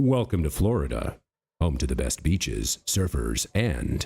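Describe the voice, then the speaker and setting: A man uses a put-on character voice with lively intonation. He speaks at a fairly slow pace. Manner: authoritative, epic.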